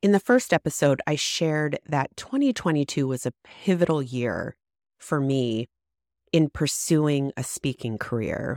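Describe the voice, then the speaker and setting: In a very clean recording with a silent background and a dry, close sound with no echo, a woman with a very deep, low pitch speaks at a fairly slow pace with ordinary pitch variation. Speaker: podcast host. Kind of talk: solo storytelling podcast monologue. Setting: home recording.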